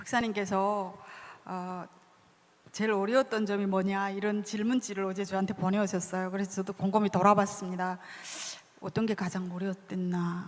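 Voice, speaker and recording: Speaking in a North Korean accent, a woman talks at medium pitch and a moderate pace in a flat monotone. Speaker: author. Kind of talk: book talk interview.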